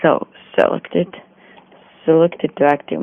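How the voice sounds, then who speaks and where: Very slow speech against noticeable background noise. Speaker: Blender tutorial maker. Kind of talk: software tutorial narration. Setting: phone recording, distorted and noisy.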